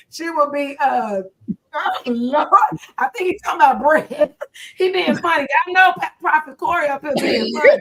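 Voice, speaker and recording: A woman speaks loudly in an animated tone with very wide pitch swings. Her pace is fairly slow. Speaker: pastor. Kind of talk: casual chat.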